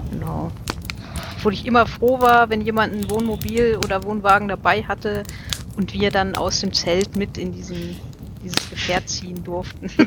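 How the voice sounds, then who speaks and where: A woman at a moderate pace, with long, frequent pauses and noticeable background noise. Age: 30s. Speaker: podcaster and listener. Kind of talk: casual group chat.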